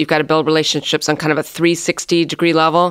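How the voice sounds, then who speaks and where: In a Midwestern American accent, the speaker talks with monotone, flat intonation on a very clean recording with a silent background. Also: woman. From US Midwest (South Bend, Indiana). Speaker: economic development executive. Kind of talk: interview.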